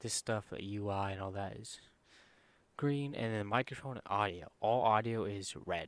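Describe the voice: The voice is quiet and moves at a moderate pace. Its pitch varies in an ordinary way. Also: man, fairly low pitch for a man.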